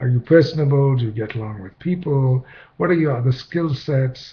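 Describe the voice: With a slightly husky edge, a man talks at a moderate pace in a medium pitch, using ordinary pitch variation.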